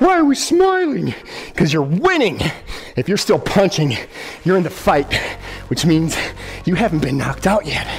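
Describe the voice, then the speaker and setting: A man speaks at a fairly slow pace. He leaves long, frequent pauses. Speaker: fitness instructor. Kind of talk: workout coaching cues. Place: gym.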